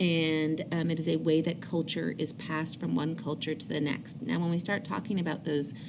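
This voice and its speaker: At a moderate pace, a woman with an American accent speaks in a very deep, low pitch and fairly even intonation, with audible room echo. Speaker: high school teacher. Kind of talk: recorded lecture. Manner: hesitant fillers (um, uh).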